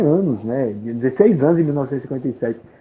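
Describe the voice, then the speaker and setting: A man with a Paraíba accent talks at a very fast pace with lively intonation. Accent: northeastern Brazilian (Paraíba). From Paraíba, Brazil. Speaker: collector and author on a folk musician. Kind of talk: interview on a live stream. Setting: online live stream. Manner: halting, many repetitions.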